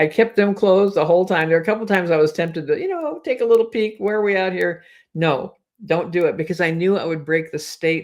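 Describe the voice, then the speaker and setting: Talking very fast, a woman uses a fairly low voice with ordinary pitch variation. The recording is very clean, with a silent background. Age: 70s. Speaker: hypnotherapist and anxiety coach. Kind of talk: personal vlog talk to camera. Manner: warm, conversational.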